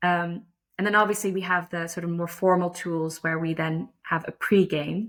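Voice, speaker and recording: In a very clean recording with a silent background, a woman with a fairly low pitch speaks at a moderate pace in a monotone, flat intonation. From Netherlands. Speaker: lacrosse umpire. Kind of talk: interview conversation. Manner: hesitant, many fillers.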